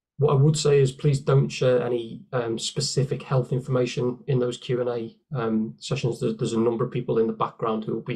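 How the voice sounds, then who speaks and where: Somewhat breathy male speech at a fairly quick pace, fairly even in intonation, over a quiet background. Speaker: webinar host for a charity. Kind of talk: webinar presentation. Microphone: webcam.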